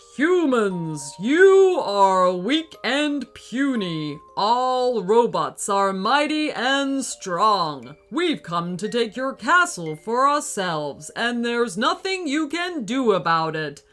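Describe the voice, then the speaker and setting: A put-on character voice, female-sounding and fairly high, at a very slow pace with hardly any pauses and very wide pitch swings, over faint music in the background. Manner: booming, menacing.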